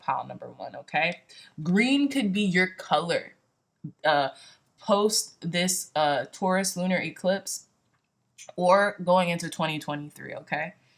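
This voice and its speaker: A woman with a normal speaking voice talks at a fairly slow pace, her fairly low pitch moving with lively intonation. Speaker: tarot reader. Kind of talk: tarot reading monologue. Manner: casual, filler-heavy.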